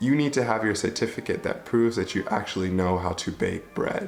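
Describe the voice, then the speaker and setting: Music plays behind a man speaking at a moderate pace with a Midwestern accent. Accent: American Midwest. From Michigan, USA. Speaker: vlogger. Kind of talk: casual talk to camera.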